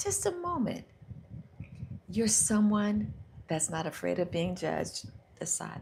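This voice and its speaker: Over noticeable background noise, a woman with an American accent speaks in a soothing tone at a fairly slow pace, leaving long, frequent pauses. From United States. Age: 60s. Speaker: self-help livestreamer. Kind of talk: guided visualization on a livestream. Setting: live stream. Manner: slow and soothing.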